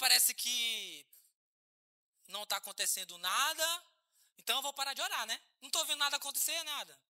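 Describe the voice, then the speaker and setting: A man's extremely high, bright, sharp voice, raised and projected, animated in tone with lively intonation, at a moderate pace with long, frequent pauses, dry and close with no echo. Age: 30s. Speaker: pastor. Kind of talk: sermon. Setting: church.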